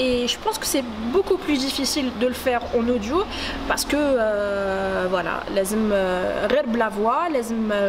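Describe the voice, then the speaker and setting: At a very slow pace, a woman talks at a high pitch with ordinary pitch variation. Background noise is noticeable. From Algeria. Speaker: radio journalist and presenter. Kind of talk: casual talk to camera.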